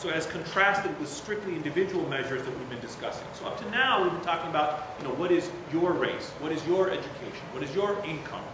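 Over noticeable background noise and audible room echo, a man talks at a very fast pace in a high pitch with ordinary pitch variation. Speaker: university professor. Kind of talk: lecture. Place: hall. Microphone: podium.

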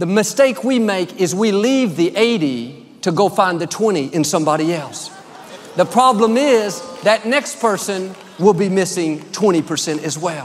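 A man speaks with an American accent at a moderate pace. His pitch is high and his intonation lively. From United States. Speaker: preacher. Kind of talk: sermon delivered to a congregation. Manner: warm, friendly, upbeat. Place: hall. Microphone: headset.

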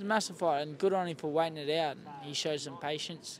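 With an Australian accent, a man speaks over noticeable background noise in a dry sound with no echo. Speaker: professional boxer. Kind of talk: casual interview. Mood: relaxed, candid, some swearing. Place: stadium.

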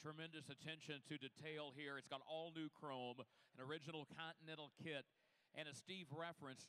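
A man speaks at a moderate pace in a fairly high voice. His tone is bright and sharp, with monotone, flat intonation. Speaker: auction broadcast commentator. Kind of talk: live commentary. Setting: live car auction broadcast. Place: hall.

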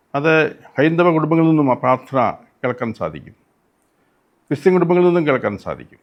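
This man's voice is fairly high in pitch. Its rise and fall is ordinary. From Kerala, Kottayam district. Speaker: retired archbishop. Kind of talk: interview testimony. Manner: halting.

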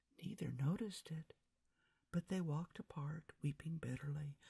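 The voice is somewhat breathy, with a dark, mellow tone and ordinary pitch variation. The background is quiet. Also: woman. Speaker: ASMR storyteller. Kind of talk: read-aloud story. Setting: binaural recording. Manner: whispered. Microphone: studio mic.

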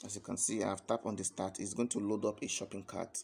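With fairly flat intonation, a man talks in a fairly low voice. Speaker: online earning promoter. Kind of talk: sales pitch. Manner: halting. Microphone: phone near.

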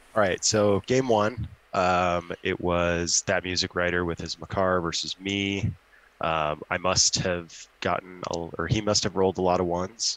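A man's very deep, low voice, fairly slow and fairly even in intonation, with a dry sound and no echo. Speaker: tabletop wargame competitor and model maker. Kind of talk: casual chat. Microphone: video call.

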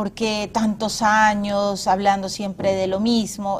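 Over light background noise, a woman speaks very slowly in a somewhat breathy voice at a medium pitch, her intonation monotone and flat. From Peru. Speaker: TV interviewer. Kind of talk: TV interview. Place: studio.

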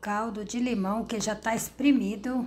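A woman is talking. There is a somewhat breathy quality to her voice. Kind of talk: casual cooking tutorial. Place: kitchen. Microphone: phone near.

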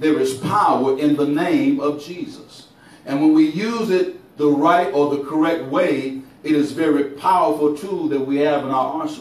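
There is audible room echo around a man whose voice shows ordinary pitch variation. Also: moderate pace. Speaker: preacher. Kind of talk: sermon. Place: church.

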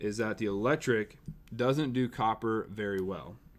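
A man speaks at a moderate pace, his pitch medium for a man and its variation ordinary.

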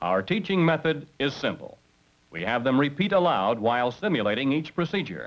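Vocal fry runs through this moderate-paced speech, which moves in very wide pitch swings. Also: man, fairly high pitch for a man. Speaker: instructor narrator. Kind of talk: vintage training film narration. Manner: formal, brisk and authoritative; measured, instructional delivery.

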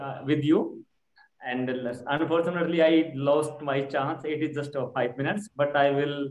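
Speaking at a moderate pace with an Indian accent, the voice carries audible room echo. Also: man. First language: Hindi. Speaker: schoolteacher and English learner. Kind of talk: online English lesson. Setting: video call. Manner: halting, many fillers. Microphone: video call.

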